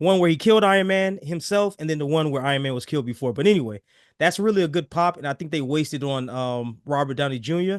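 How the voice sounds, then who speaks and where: The delivery comes at a very fast pace, with lively intonation and an animated tone. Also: man, fairly high pitch for a man, quiet background. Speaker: podcast host. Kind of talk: casual chat.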